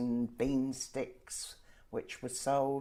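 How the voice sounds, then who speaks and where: A woman speaks at a very slow pace in a very deep, low voice with a dark, mellow tone. Her intonation stays monotone and flat. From southern England, Surrey. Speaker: former villager sharing memories. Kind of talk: oral history interview. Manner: hesitant.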